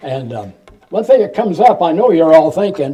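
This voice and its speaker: A man is speaking. He has a Midwestern US accent. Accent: US Midwest. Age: 90s. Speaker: retired professor, local historian. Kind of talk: public talk. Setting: museum talk with audience. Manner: halting.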